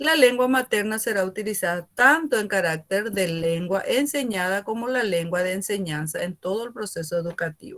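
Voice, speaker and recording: Her voice is fairly high, and the woman speaks with lively intonation. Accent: Paraguayan. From Paraguay. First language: Guarani (speaking Spanish). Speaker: university teacher. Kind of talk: lecture.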